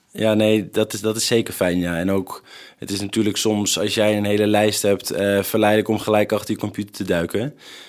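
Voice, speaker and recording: Recorded very cleanly against a silent background, a man talks fairly quickly in a fairly low, monotone, flat voice. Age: 20s. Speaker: primary school teacher. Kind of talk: casual chat. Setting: empty school building.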